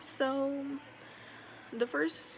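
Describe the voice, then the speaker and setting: A woman talks. Background noise is noticeable throughout. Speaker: vlogger. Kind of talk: casual monologue vlog. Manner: quiet, low volume; dull, low energy.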